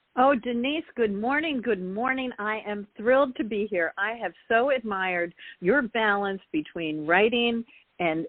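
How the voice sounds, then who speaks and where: In a plain, everyday voice, the woman keeps to a moderate speed. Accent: American. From US Northeast, Long Island, New York. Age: 60s. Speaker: author. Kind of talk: interview. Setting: talk radio show.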